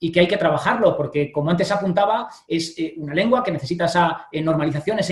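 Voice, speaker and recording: A man with a high pitch, ordinary pitch variation and a very fast pace. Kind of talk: panel interview. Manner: hesitant with fillers.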